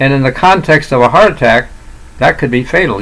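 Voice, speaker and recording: Over noticeable background noise, a man with a fairly high pitch speaks with ordinary pitch variation. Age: 80s+. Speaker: retired doctor. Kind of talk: solo health talk to camera. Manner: halting, many fillers and restarts.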